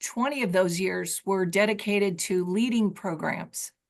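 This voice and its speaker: The speech runs at a fairly slow pace with ordinary pitch variation over a quiet background. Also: woman. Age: 60s. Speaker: personal development trainer. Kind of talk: training session. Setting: video call.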